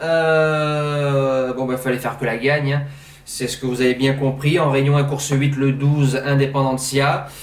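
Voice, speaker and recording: A man speaks at a fairly slow pace in a fairly high pitch. Noticeable background noise and audible room echo fill the recording. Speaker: horse racing tipster. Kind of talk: betting tips monologue. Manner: casual, hesitant fillers.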